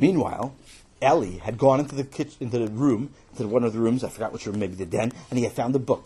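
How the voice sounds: Pitch varies in an ordinary way within a natural reading voice.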